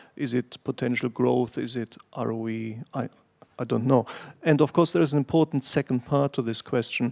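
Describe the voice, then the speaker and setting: A man speaks with a German accent and fairly even intonation, the sound dry and close with no echo. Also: medium pitch for a man, moderate pace. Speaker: financial analyst. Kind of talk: question at investor Q&A.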